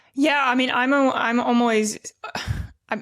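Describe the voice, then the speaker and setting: A woman speaks with ordinary pitch variation. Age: 30s. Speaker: podcast host. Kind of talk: podcast interview. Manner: halting.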